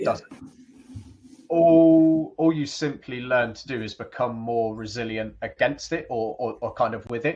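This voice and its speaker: In a normal speaking voice, a man talks at a fairly slow pace. His pitch is medium, with ordinary pitch variation. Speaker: podcast guest. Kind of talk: interview answer.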